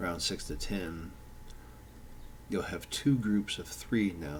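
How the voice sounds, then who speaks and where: The voice is somewhat breathy and keeps a moderate pace. There is audible room echo. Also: man. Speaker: tabletop game designer. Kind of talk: tutorial. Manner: slurred speech; halting, many fillers.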